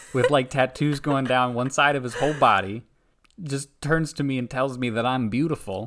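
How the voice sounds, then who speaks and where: Fairly even in intonation, a man talks at a moderate pace with a medium pitch. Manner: loud, though says he is normally soft-spoken.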